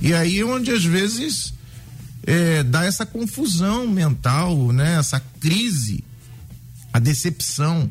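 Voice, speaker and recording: A man talks at a very slow pace with long, frequent pauses. His voice is high, with very wide pitch swings and very even loudness. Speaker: pastor.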